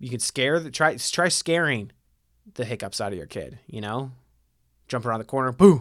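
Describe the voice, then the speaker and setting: Using an American accent, a man at a medium pitch speaks at a moderate pace with lively intonation, big swings in loudness and long, frequent pauses. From Ohio, US Midwest. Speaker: podcast host. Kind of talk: casual chat.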